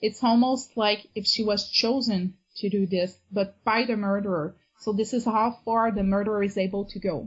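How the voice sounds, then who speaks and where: At a moderate pace, a woman speaks in a somewhat breathy, medium-pitched voice with fairly even intonation. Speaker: amateur novelist and avid reader. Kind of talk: casual interview.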